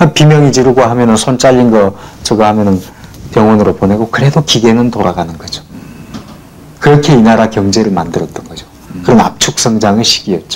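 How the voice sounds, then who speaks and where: Over noticeable background noise, a man of medium pitch talks at a fairly quick pace, with ordinary pitch variation and long, frequent pauses. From South Jeolla, Korea. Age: 40s. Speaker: poet, former labor activist. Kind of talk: documentary interview answer.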